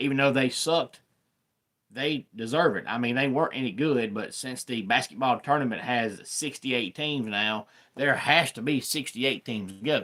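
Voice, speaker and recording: A man with a Southern accent, medium pitch, bright and sharp tone, moderate pace and ordinary pitch variation, on a very clean recording with a silent background. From US Deep South. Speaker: sports YouTuber. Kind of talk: live stream sports talk. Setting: live stream. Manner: casual.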